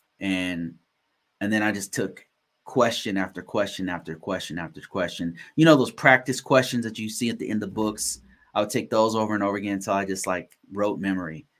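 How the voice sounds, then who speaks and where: Recorded very cleanly against a silent background, a man with an ordinary speaking voice and a fairly low pitch talks at a fairly quick pace with ordinary pitch variation. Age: 40s. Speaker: cybersecurity podcast host. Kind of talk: casual livestream Q&A. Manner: casual, filler-heavy with repetitions.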